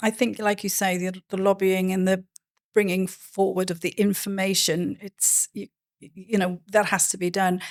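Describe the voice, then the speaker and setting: On a very clean recording with a silent background, a woman speaks at a moderate pace and medium pitch in a Welsh accent, her intonation flat and monotone. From Wales. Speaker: podcast host, cruise industry advisor. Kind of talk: interview.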